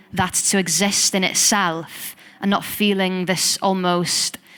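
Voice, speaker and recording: Speaking in a Welsh accent, a woman talks at a very slow pace and a medium pitch. Her intonation stays flat and monotone. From Wales. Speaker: poet and singer. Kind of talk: interview conversation.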